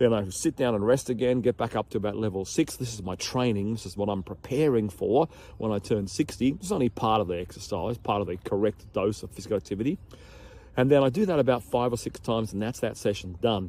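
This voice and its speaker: A man with an Australian accent speaks very fast at a fairly low pitch, his dark, mellow tone carrying ordinary pitch variation. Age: 50s. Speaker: health and physical education teacher. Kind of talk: casual vlog talk to camera. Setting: outdoors in a park.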